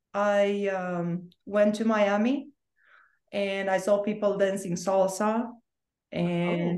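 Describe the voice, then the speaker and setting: A woman with a Romanian accent speaks at a very slow pace. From Romania, Bucharest. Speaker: author and spiritual coach. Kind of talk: casual interview.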